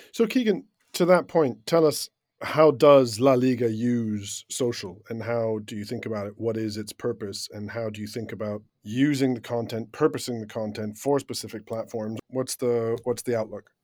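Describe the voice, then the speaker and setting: In an ordinary speaking voice, a man talks at a moderate pace and medium pitch with ordinary pitch variation. His loudness swings widely on a very clean recording with a silent background. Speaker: podcast host. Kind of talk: casual round-table discussion.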